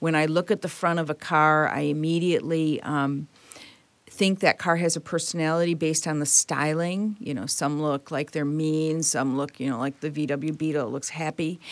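Here a woman speaks in a Midwestern American accent with a very deep, low pitch. Her intonation stays fairly even. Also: moderate pace. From Detroit, Michigan. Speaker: automotive engineering executive. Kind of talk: interview.

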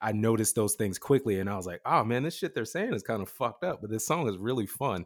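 Talking very fast with hardly any pauses, a man uses a medium pitch and lively intonation. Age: 30s. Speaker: hip-hop artist. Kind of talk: casual interview. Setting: remote call.

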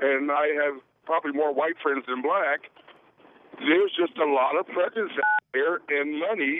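A man at fairly high pitch with ordinary pitch variation, a fairly slow pace, and a dry, close sound with no echo

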